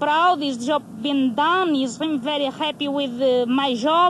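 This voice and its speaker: High female voice, usual pitch movement, noticeable noise in the background. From Portugal. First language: Portuguese. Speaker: uranium mine worker. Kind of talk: documentary interview. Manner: halting.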